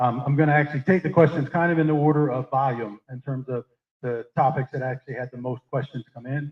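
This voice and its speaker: Somewhat breathy and fairly quick, a man speaks at a medium pitch with fairly even intonation. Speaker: meeting moderator. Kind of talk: public meeting Q&A moderation. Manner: fast.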